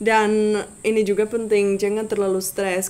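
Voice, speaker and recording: Speaking fairly slowly, this is a woman. She has a Czech accent. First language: Czech (speaking Indonesian). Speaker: language tutor YouTuber. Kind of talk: tutorial. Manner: halting, many fillers.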